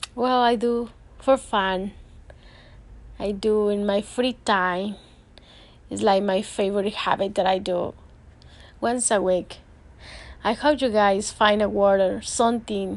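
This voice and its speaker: Pausing long and often, a woman with a Spanish accent speaks at a fairly slow pace and a medium pitch, her intonation fairly even. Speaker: self-help podcaster. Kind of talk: motivational monologue. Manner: halting.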